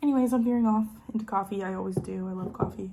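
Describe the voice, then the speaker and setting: A woman's somewhat breathy voice moves with ordinary pitch variation. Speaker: lifestyle vlogger. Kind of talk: casual chat. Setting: at home in dining room. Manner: stutters at times.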